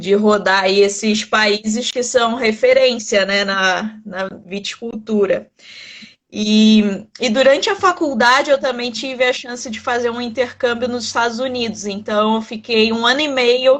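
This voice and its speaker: With a Rio de Janeiro accent, a woman speaks fairly slowly in a fairly high pitch, her pitch varying in an ordinary way. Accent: carioca (Rio de Janeiro). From Brazil, Rio de Janeiro. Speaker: winemaker and wine content creator. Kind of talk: interview in a live stream. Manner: conversational with many fillers.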